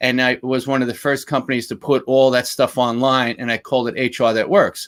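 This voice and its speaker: A man with a Bronx accent speaks at a moderate pace and medium pitch. The recording is very clean, with a silent background. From New York, Bronx. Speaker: former lawyer, HR consultant and speaker. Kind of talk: interview.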